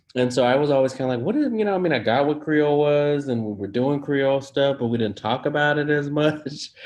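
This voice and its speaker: A man with an American accent at a fairly high pitch, very fast with hardly any pauses, ordinary pitch variation, noticeable background noise. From San Francisco, California. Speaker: professor. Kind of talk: interview.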